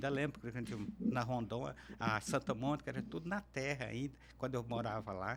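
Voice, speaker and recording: A man speaks at a fairly quick pace with lively intonation. Vocal fry runs through his voice. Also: medium pitch for a man. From Minas Gerais, Alto Paranaíba region. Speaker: interview guest, public servant. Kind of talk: podcast interview. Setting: studio.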